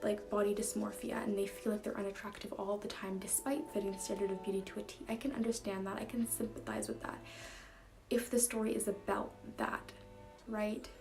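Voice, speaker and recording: The woman's voice is quiet and her pace fairly quick. There is noticeable background noise behind her. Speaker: book reviewer. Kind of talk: casual vlog monologue. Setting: at home late at night. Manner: animated.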